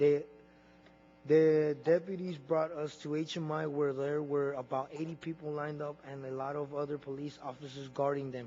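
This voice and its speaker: In an American accent, a man speaks at a fairly high pitch with flat, monotone intonation. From Arizona, US. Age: 20s. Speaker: witness testifying at a hearing. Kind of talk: testimony. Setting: committee hearing room. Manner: halting, with repeated words.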